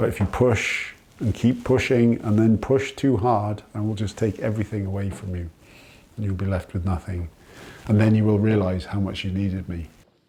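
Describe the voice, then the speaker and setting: Against noticeable background noise, a voice with a Welsh accent speaks with fairly even intonation. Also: man, fairly low pitch for a man, moderate pace. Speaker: farmer. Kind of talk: interview testimony.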